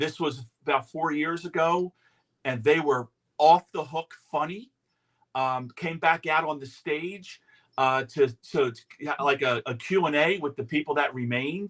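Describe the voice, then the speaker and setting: In a dry, close sound with no echo, a man uses a normal speaking voice. He speaks at a fairly slow pace with ordinary pitch variation. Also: fairly high pitch for a man. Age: 60s. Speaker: talk show host. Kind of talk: casual chat. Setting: outdoors on a porch.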